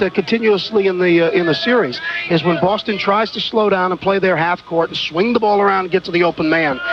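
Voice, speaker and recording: Man with a high pitch at a very fast pace, ordinary pitch variation, and music in the background. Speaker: radio color commentator. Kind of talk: postgame radio interview.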